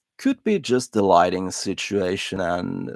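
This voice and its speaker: A man's very deep, low voice with a non-native accent and a dry, close sound with no echo. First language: not English. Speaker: hobbyist lighter repair streamer. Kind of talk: casual live stream monologue. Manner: hesitant, many filler words.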